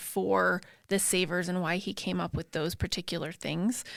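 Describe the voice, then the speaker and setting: There is vocal fry in this woman's voice. Her recording is very clean, with a silent background. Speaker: podcast co-host. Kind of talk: casual chat. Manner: fast.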